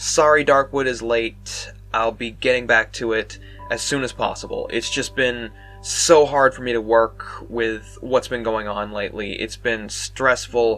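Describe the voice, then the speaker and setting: Background music can be heard. Over it, a man talks at a fairly slow pace. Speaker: gaming video creator. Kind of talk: casual talk to camera. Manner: rambling, stuttering.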